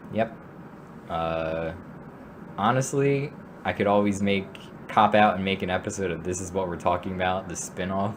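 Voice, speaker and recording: With noticeable background noise, a man speaks at a very deep, low pitch with ordinary pitch variation and long, frequent pauses. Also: moderate pace. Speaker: podcast host. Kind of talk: casual chat. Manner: halting.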